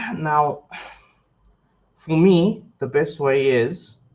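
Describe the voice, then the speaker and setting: A man's somewhat breathy, fairly high voice with lively intonation. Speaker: web developer giving translator training. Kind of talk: tutorial. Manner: hesitant, with filler words.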